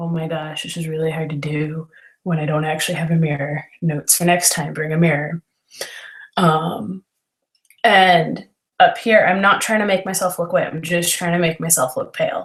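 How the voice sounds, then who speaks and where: Her pitch is fairly low and somewhat breathy, this woman's voice. She keeps a moderate pace and fairly even intonation. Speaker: makeup tutorial host. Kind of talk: tutorial. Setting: video call livestream. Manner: giggly.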